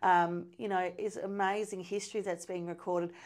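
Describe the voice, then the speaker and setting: A woman with an Australian accent and fairly even intonation, in a very clean recording with a silent background. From Hay, New South Wales, Australia. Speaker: cadet journalist. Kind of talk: casual chat.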